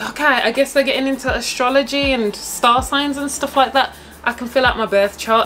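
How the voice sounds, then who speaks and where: A woman talks at a fairly quick pace with a high pitch. Faint music sits in the background. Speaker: vlogger. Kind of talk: casual vlog chat. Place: home room.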